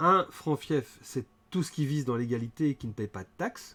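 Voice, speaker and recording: Lively in intonation, a man speaks at a medium pitch and a fairly slow pace. The recording is very clean, with a silent background. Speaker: game designer and livestream host. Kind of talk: livestream presentation. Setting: live stream with chat.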